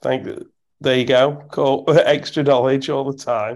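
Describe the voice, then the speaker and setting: A fairly slow, flat, monotone man with an English accent and a fairly high voice. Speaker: football podcast host. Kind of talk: casual chat. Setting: recording at home at night, baby asleep. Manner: speaking quietly.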